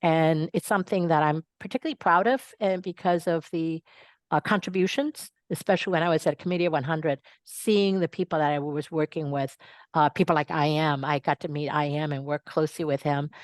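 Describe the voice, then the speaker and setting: Over a quiet background, a woman with a very deep, low pitch and ordinary pitch variation talks at a fairly quick pace, the sound dry and close with no echo. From Taiwan until age ten, then raised in the US. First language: Mandarin Chinese. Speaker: nonprofit leader. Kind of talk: interview. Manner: many fillers and restarts.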